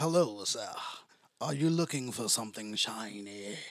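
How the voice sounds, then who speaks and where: A man puts on a character voice with a British accent. His pitch is medium and his pace moderate. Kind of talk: posh, formal.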